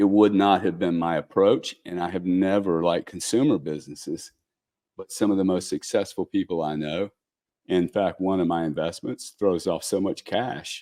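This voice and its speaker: In a Louisiana accent, a man speaks with very deep, low pitch and a dark, mellow tone. Pitch variation is ordinary, and the sound is dry and close with no echo. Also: moderate pace. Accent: Louisiana Southern US. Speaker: businessman and investor. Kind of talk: podcast interview. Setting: live show.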